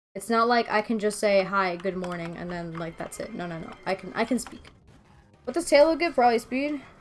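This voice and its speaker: With music in the background, a woman speaks at a fairly quick pace, her pitch swinging very widely. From Venezuela. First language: Spanish. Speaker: streamer. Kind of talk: casual gaming stream chat. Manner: relaxed, conversational.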